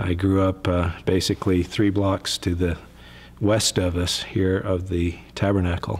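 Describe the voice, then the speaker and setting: A somewhat breathy man with an American accent, very deep and low in pitch, monotone with flat intonation and very even loudness. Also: fairly slow pace. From Utah, US. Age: 50s. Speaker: church member. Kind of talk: testimony. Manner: halting.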